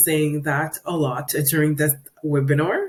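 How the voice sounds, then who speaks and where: In a French accent, a woman speaks at a fairly slow pace. Her pitch is very deep and low. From Quebec, Canada. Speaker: 3D visualization specialist. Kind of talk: webinar presentation. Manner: hesitant, frequent fillers.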